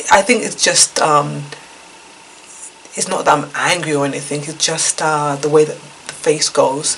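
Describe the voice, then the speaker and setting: The speech has long, frequent pauses. There is noticeable background noise. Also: woman, very deep, low pitch for a woman, fairly even intonation, moderate pace. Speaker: YouTube vlogger sharing life experiences. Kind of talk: casual vlog talk to camera. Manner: hesitant with many fillers.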